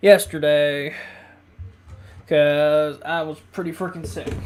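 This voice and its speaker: Very slow-paced speech, with music in the background. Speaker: gaming let's play host. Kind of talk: casual gameplay commentary.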